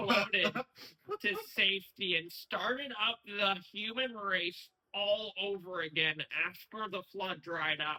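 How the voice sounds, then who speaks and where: A put-on character voice comes from a man. It sits at a high pitch. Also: fairly slow pace. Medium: audio drama. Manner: solemn, mock-prophetic.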